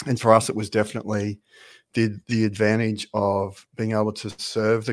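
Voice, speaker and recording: In an Australian accent, a man talks at a fairly low pitch with monotone, flat intonation. The recording is very clean with a silent background and a dry, close sound with no echo. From Australia, Brisbane. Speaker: golf brand founder. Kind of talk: casual interview. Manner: halting, many fillers.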